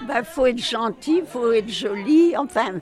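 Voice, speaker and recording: Over crowd noise in the background, a woman speaks very slowly with very wide pitch swings. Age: 90s. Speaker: care home resident. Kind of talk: interview.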